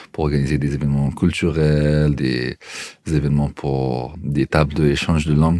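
In a very deep, low voice, a man speaks at a fairly slow pace with monotone, flat intonation. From Afghanistan. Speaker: incubator coordinator. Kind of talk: interview.

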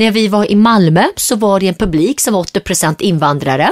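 With a dry, close sound and no echo, a woman speaks in a plain, everyday voice of medium pitch at a moderate pace. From Sweden, Gothenburg; Syriac family from Turkey. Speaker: entrepreneur. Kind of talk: interview.

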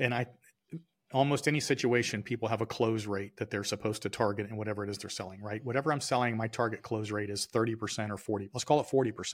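The recording is very clean with a silent background, holding an unremarkable speaking voice. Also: man. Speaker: sales consultant and business owner. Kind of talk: casual interview chat. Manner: conversational, storytelling.

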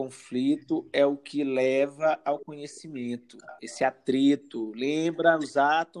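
He has a fairly high pitch and a normal speaking voice. His intonation stays fairly even. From Brazil, São Luís, Maranhão. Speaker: psychologist. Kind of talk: interview.

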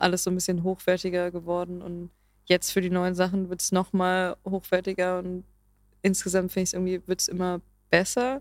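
Flat, monotone intonation marks this woman's medium-pitched voice as she moves at a fairly quick pace. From Germany, Berlin. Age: 20s. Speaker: singer-songwriter. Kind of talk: casual interview chat.

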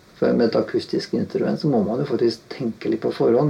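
A man speaks in a medium pitch. Noticeable background noise can be heard around him. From Norway, Halden. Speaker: guitarist and session musician. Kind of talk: casual interview. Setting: home studio.

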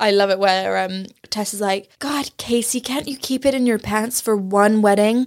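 Speaking with a British accent, a woman keeps a fairly high pitch, fairly even intonation and a moderate pace. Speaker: podcast host. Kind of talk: casual chat.

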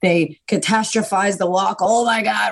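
Somewhat breathy and animated in tone, a woman with a Boston accent speaks at a medium pitch. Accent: Boston American. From US, Boston. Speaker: confidence coach. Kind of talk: casual interview chat.

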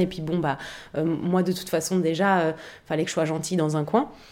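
A woman with a fairly low pitch talks at a very fast pace on a very clean recording with a silent background. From Paris, 11th arrondissement. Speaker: actress and online video creator. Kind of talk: casual chat.

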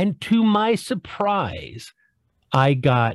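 The man's somewhat breathy voice swings very widely in pitch, and the sound is dry and close with no echo. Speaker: podcast host and former chef. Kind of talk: casual chat.

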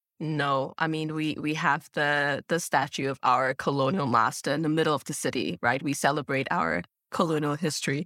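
A woman with a very deep, low voice speaks at a moderate pace with ordinary pitch variation and hardly any pauses, her tone bright and sharp, the sound dry and close with no echo on a very clean recording with a silent background. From Singapore. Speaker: podcast host. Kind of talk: interview.

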